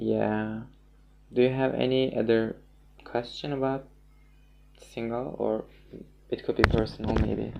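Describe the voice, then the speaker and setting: A man with a non-native accent, long, frequent pauses and noticeable background noise. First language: not English. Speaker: musician. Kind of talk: casual chat. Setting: livestream. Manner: halting, many fillers.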